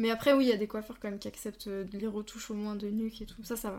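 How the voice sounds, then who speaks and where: A woman speaks with a fairly high pitch and a dark, mellow tone. Her intonation stays monotone and flat. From Franche-Comté. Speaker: podcast host. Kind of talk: interview.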